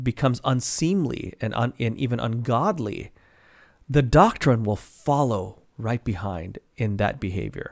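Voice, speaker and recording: Lively intonation at a very slow pace over a quiet background. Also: man. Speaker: Bible teacher. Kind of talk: sermon. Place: home room. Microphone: studio mic.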